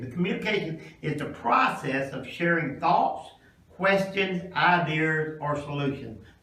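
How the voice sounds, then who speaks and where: A man with a Kentucky accent, fairly high-pitched, lively in intonation, with audible room echo and noticeable background noise. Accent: Southern US (Kentucky). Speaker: pastor presenting a career class to students. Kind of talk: classroom presentation. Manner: passionate, rising pitch.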